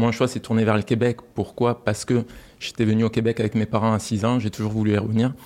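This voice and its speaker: Someone speaks at a very fast pace in a monotone, flat delivery. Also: man, medium pitch for a man. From France. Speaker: aerospace project director. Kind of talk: interview.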